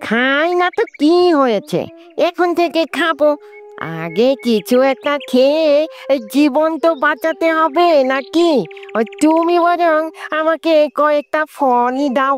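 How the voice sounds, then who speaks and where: In a cartoonish character voice, the speaker talks at a high pitch and a very slow pace. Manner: self-pitying.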